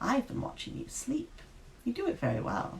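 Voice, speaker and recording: A man does a put-on character voice at an extremely high pitch and a moderate pace. Clear background noise can be heard. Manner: polite, formal.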